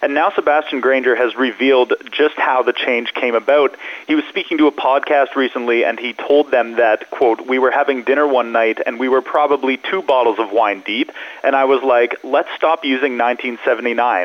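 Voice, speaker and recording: At a moderate pace and with hardly any pauses, a man speaks at a medium pitch. His pitch variation is ordinary, and noticeable background noise is present. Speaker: music news journalist. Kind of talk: news reporting. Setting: phone call. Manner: polished, fluent, informative.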